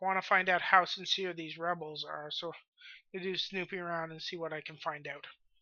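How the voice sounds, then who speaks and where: Putting on a character voice, a woman speaks at a fairly quick pace, raspy and fairly low in pitch. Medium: game stream. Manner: composed, businesslike.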